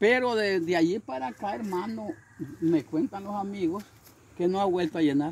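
With light background noise, a man speaks at a moderate pace, his high pitch carrying lively intonation. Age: 70s. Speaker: can collector living in poverty. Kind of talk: interview; testimony. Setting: at his home. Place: street.

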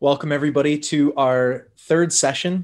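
The voice belongs to a man. His pitch variation is ordinary. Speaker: parish priest. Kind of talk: prayer group session, spoken prayers. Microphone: video call.

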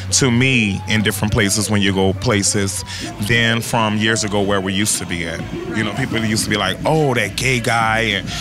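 Over clear background music, a man with a fairly low pitch talks at a fairly quick pace with fairly even intonation, the sound dry with no echo. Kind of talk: interview answer. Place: street. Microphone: handheld.

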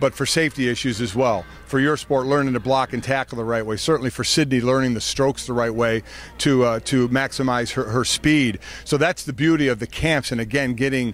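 A man at a fairly quick pace with fairly even intonation, faint music in the background and a dry sound with no echo. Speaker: interviewee. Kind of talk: interview answer. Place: stadium. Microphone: handheld.

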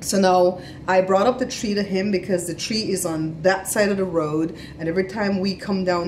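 A woman talks at a moderate pace with fairly even intonation. Light noise sits in the background. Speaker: family vlogger. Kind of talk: casual vlog chat. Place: home room. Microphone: phone near.

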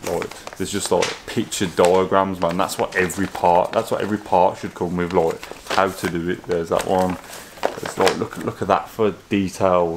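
A man with a very deep, low pitch speaks in a flat monotone over noticeable background noise. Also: moderate pace. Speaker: car modding vlogger. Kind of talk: casual vlog chat. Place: home room. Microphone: phone near.

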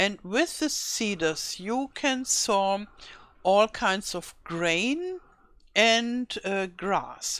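Her pace is very slow, and her intonation is lively. The woman speaks at a medium pitch with a German accent. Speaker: gaming YouTuber. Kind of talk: tutorial. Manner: halting.

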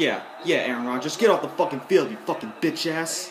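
The speaker sounds furious, talking at a moderate pace over noticeable background noise. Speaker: gamer. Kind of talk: angry gaming rant, rage quit, nonstop cursing and shouting at the screen. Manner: exasperated, impatient, repeating lines over and over with bitter sarcastic thanks.

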